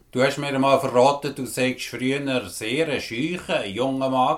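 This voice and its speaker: A man with a normal speaking voice, medium pitch and ordinary pitch variation, talking at a fairly slow pace with hardly any pauses. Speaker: podcast host. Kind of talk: interview.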